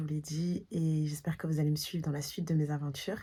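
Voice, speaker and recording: A soft-spoken woman talks at a fairly quick pace with a fairly low pitch and a dark, mellow, somewhat breathy tone. The recording is very clean with a silent background. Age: 30s. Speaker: vlogger. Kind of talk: vlog outro.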